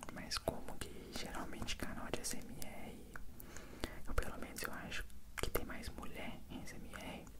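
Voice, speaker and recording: The pace is fairly slow. A man whispers throughout. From Brazil. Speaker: ASMR content creator. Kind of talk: ASMR Q&A answering viewer questions. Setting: binaural microphone recording. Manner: whispered. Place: home room. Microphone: handheld.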